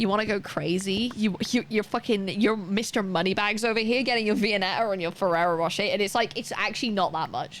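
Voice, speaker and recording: Speaking at a fairly quick pace with hardly any pauses, a woman uses an animated tone and a medium pitch amid noticeable background noise. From Wales. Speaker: streamer. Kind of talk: casual chat. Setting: live stream.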